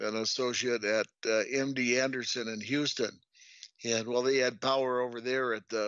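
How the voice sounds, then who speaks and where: At a moderate pace, a man speaks with medium pitch and a flat, monotone intonation. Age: 70s. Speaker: engineering company president. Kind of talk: podcast interview.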